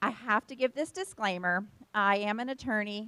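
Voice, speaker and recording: With lively intonation and an American accent, a woman speaks in a dry, close sound with no echo. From Pennsylvania. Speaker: attorney. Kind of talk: presentation. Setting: fellowship hall with live audience. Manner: fast.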